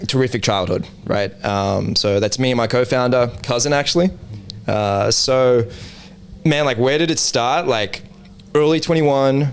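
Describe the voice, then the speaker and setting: Against noticeable background noise, a man with an Australian accent speaks at a fairly slow pace and medium pitch, with ordinary pitch variation. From Australia, Sydney southwest (Liverpool). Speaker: NFT project co-founder. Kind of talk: casual interview chat.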